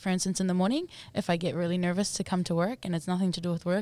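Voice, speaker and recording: In a New Zealand accent, a woman speaks at a fairly low pitch on a very clean recording with a silent background. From New Zealand, Auckland. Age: 20s. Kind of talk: casual chat.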